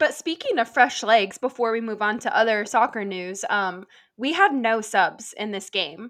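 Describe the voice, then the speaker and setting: In an American accent, a woman talks at a moderate pace with a fairly high pitch and ordinary pitch variation. She has a plain, everyday voice, heard against a quiet background. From Nebraska. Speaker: sports podcast co-host. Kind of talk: casual chat.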